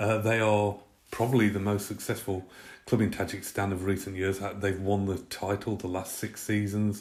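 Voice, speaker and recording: A man with an English accent, fairly low pitch and monotone, flat intonation at a moderate pace. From Britain. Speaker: football pundit. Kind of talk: prepared football analysis talk. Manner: many fillers (uh, um).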